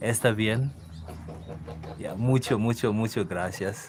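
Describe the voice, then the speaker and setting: A man is speaking. His intonation is fairly even. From Kenya. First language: Kikuyu. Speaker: farmer. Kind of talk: casual live-stream chat. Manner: relaxed, chatty with fillers.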